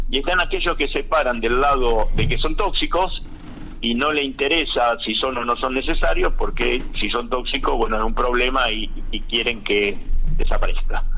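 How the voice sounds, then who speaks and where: At a moderate pace, the voice comes through with audible room echo and noticeable background noise. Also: man. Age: 60s. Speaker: agronomist. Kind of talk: radio interview. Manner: halting, many fillers.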